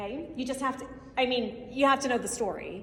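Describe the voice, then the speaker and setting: A high-pitched woman at a fairly quick pace, with audible room echo and noticeable background noise. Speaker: Spanish teacher and conference presenter. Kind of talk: conference presentation. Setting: stage with audience. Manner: fast; animated.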